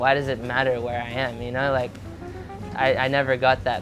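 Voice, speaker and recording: Over clear background music, a man speaks at a medium pitch and moderate pace with fairly even intonation. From Indonesia (Bali) and Australia. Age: 20s. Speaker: professional surfer. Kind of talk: interview answer. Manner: casual, rambling. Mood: candid, emotional storytelling. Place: boat. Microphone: lapel.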